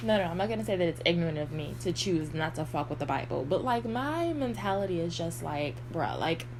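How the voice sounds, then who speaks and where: Here a woman talks at a fairly quick pace. Noticeable background noise runs underneath. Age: 50s. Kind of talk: casual talk to camera. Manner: rambling.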